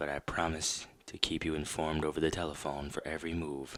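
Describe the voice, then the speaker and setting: Soft-spoken and at a moderate pace, a man talks in a very deep, low pitch with monotone, flat intonation. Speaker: horror story host and rock band vocalist. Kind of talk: first-person horror story narration. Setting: scary background music under the reading. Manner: soft-spoken, sleepy, ASMR-style.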